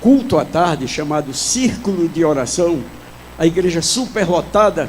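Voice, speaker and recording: Against noticeable background noise, a man with a high pitch speaks at a fairly slow pace with lively intonation. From Pernambuco, northeast Brazil. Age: 70s. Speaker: pastor. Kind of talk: sermon. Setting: church. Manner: loud.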